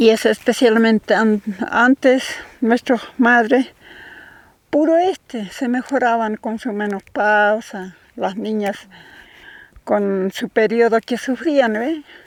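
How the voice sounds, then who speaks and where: A woman speaks at a very slow pace with long, frequent pauses, in a dry, close sound with no echo. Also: fairly high pitch for a woman, ordinary pitch variation. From Chilean Altiplano, Aymara area (Cariquima). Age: 70s. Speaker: traditional midwife and herbalist. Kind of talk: casual explanation outdoors. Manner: halting.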